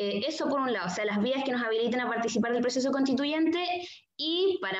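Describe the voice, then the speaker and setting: With audible echo in the room, a woman rattles along very quickly, her pitch rising and falling in an ordinary way. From southern Chile, Puerto Montt. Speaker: migrant activist. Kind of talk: panel discussion. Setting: video call.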